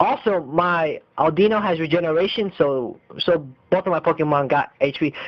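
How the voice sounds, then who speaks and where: A man with a Spanish accent and a high pitch speaks at a moderate pace, his loudness very even and his pitch varying in an ordinary way. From Mexico. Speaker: gaming commentator. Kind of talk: gameplay commentary. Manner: halting.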